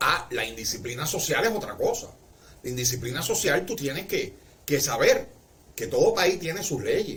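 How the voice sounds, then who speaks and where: With a Cuban accent, a man speaks at a moderate pace amid noticeable background noise and audible room echo. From Cuba, Marianao, Havana. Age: 60s. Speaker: livestreamer. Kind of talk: casual livestream monologue.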